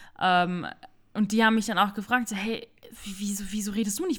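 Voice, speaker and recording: Fairly high in pitch, a woman talks at a fairly quick pace in a plain, everyday voice. Her intonation is fairly even. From Palatinate, Germany. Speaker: co-host, winery worker. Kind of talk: casual chat. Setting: living room.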